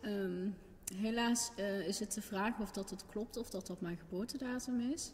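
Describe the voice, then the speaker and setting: Fairly slow speech with ordinary pitch variation over light background noise. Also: woman, medium pitch for a woman. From Netherlands. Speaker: adoptee searching for birth parents. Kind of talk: personal testimony. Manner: halting. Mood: thoughtful, somewhat sad.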